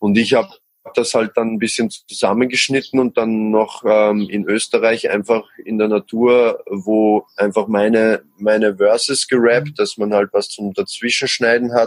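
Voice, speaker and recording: This man has an ordinary speaking voice at medium pitch with fairly even intonation. The sound is dry and close, with no echo. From Austria. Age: 20s. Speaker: musician. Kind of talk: interview. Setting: podcast.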